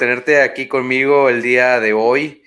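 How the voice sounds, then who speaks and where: A man with a Mexican accent speaks in a relaxed tone that is bright and sharp. The recording is very clean, with a silent background. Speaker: podcast host. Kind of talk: casual chat. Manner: relaxed, informal.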